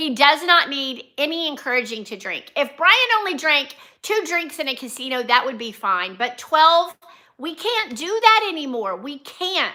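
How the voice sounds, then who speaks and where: A woman projects a raised, high-pitched voice with a bright, sharp tone at a moderate pace, her pitch swinging very widely and her loudness shifting a lot. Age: 60s. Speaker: nurse and vlogger. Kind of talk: casual livestream chat. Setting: live stream from home.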